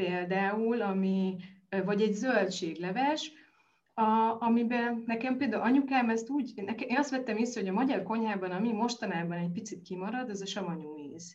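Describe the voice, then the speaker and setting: Over audible room echo, a woman with fairly high pitch talks at a moderate pace with ordinary pitch variation. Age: 40s. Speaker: nutrition expert. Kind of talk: interview.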